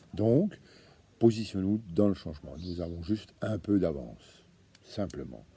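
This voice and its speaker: A man with a very deep, low voice and a dark, mellow tone sounds somewhat breathy and leaves long, frequent pauses. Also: lively intonation, fairly slow pace. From Franche-Comté, eastern France. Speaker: association founder, activist. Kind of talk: monologue video address. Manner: hesitant, many fillers and repetitions.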